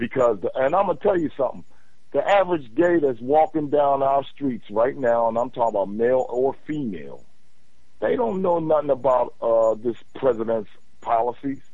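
With an American accent, a man talks at a moderate pace in an ordinary speaking voice, using medium pitch and lively intonation. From Philadelphia. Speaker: caller. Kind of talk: casual call-in conversation. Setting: phone call.

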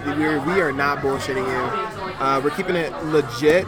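Over crowd noise in the background, the speaker sounds animated at a moderate pace. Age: 20s. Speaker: podcast host. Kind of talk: casual chat. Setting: restaurant.

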